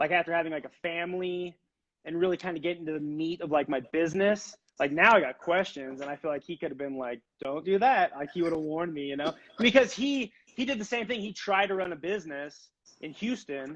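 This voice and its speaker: Loud and at a fairly quick pace, a man talks in a high pitch with lively intonation. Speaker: furniture maker and business owner. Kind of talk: casual interview chat. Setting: live video stream.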